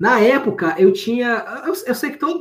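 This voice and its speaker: A man speaks with very wide pitch swings. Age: 30s. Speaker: data engineer. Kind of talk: interview. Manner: casual, with many fillers and repetitions.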